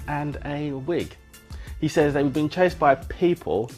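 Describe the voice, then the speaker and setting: With music playing in the background, a man talks at a moderate pace and fairly high pitch with ordinary pitch variation. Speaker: radio presenter. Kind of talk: gossip radio presenter showreel. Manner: chatty, playful, sarcastic.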